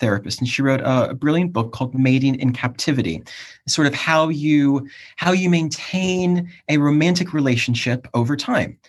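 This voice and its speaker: In an unremarkable speaking voice with an American accent, a man talks at a moderate pace and very even loudness, his fairly high pitch showing ordinary variation against a quiet background. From US, Cleveland, Ohio. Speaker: academic and PhD supervisor. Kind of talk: casual chat.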